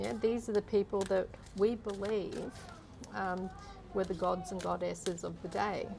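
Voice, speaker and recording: A soft-spoken woman talks at a moderate pace, with long, frequent pauses. Music plays in the background. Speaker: energy healer. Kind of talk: interview answer.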